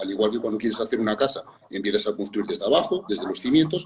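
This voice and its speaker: A man talks at a very fast pace, somewhat breathy, with lively intonation. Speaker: fitness and nutrition educator. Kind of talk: interview conversation.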